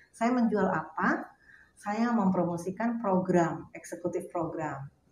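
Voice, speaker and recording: The voice moves at a very slow pace with ordinary pitch variation. Noticeable background noise runs underneath. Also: woman, medium pitch for a woman. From Jakarta, Indonesia. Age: 60s. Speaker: burial plot sales counselor. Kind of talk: interview. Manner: halting, with fillers.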